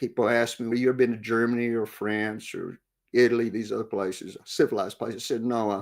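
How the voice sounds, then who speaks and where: A man with a West Texas accent talks very fast at a medium pitch, in a very clean recording with a silent background. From West Texas, Big Bend. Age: 60s. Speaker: war veteran and author. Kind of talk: interview.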